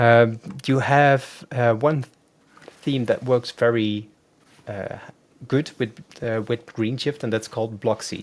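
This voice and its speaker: With a Dutch accent, a man speaks very slowly at a medium pitch, using fairly even intonation and long, frequent pauses. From Netherlands. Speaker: web designer. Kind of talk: live demo tutorial. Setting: live stream video call. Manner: hesitant, many fillers. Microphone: video call.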